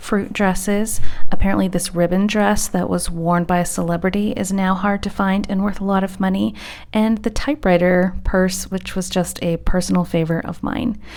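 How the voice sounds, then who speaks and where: A woman's unremarkable speaking voice at a medium pitch, with fairly even intonation and a moderate pace. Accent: American. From United States. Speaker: fashion reseller. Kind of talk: vlog narration to camera. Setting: home recording with background fan noise.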